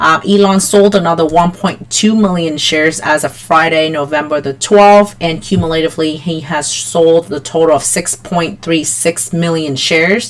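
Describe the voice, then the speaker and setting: A woman with a fairly low voice swings very widely in pitch over noticeable background noise. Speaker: stock market youtuber. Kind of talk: market analysis tutorial. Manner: frequent fillers (um, uh).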